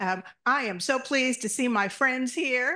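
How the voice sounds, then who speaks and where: Her tone is bright and sharp, and this woman's intonation is lively. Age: 70s. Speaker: pediatrician and community organizer. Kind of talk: audience question at symposium. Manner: passionate.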